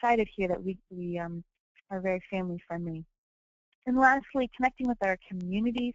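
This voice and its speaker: A woman with an American accent, medium-pitched, at a fairly quick pace, with ordinary pitch variation and big swings in loudness. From US Midwest, Indiana. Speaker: company representative presenting products. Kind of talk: webinar product presentation. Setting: live online webinar. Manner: fast; halting, many fillers.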